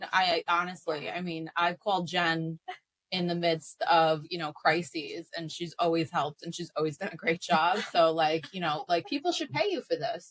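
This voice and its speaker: A woman speaks at a moderate pace with an American accent. Her fairly low voice keeps a fairly even intonation. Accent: New York Italian American. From Bensonhurst, Brooklyn, New York. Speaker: food entrepreneur and author. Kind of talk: casual interview chat.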